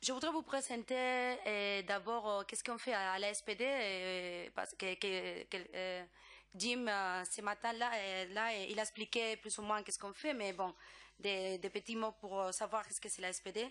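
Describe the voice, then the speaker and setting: A woman's medium-pitched voice with a Spanish accent, bright, sharp tone, ordinary pitch variation and a fairly slow pace. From Spain. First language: Spanish (speaking French). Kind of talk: conference presentation. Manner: halting, many hesitations.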